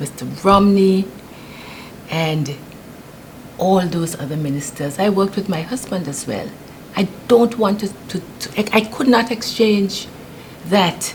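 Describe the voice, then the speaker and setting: Speaking at a fairly slow pace with a British Virgin Islands accent, this voice has lively intonation, long and frequent pauses, and noticeable background noise. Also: woman. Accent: British Virgin Islands Caribbean English. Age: 70s. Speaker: political candidate. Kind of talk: interview. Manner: halting.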